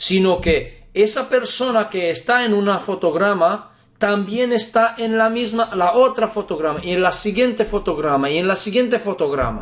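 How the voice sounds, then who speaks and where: Speech flows at a moderate pace with hardly any pauses over a quiet background. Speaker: spiritual teacher. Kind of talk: lecture.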